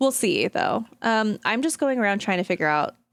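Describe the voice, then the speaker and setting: A woman speaks at a moderate pace with lively intonation. Music plays in the background. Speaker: gaming streamer. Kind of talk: casual chat. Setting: live stream.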